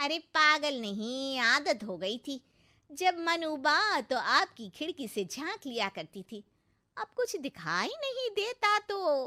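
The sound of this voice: A woman puts on a character voice, pitched high with a bright, sharp tone, big pitch swings and a slow pace.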